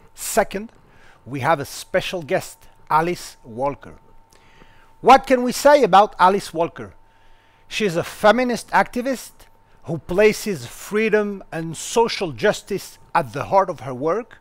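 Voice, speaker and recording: A man's high-pitched voice with very wide pitch swings, big swings in loudness, a fairly slow pace and long, frequent pauses. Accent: French. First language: French. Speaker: university lecturer and interviewer. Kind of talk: interview introduction.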